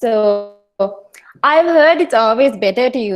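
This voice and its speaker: A woman talks at a moderate pace. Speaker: toastmasters club member giving icebreaker speech. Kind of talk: prepared speech. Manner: loud; animated.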